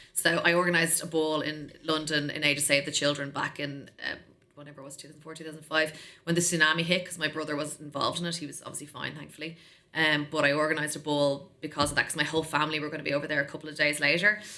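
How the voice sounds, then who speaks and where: A woman speaks very fast in an Irish accent with a very deep, low pitch. Her loudness swings a lot. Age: 40s. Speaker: tech sales executive. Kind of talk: podcast interview. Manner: animated.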